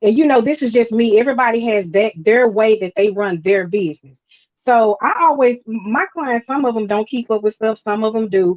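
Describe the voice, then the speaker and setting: A woman with a fairly high pitch talks with ordinary pitch variation and hardly any pauses. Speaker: tax preparer and credit repair business owner. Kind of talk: interview. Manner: fast.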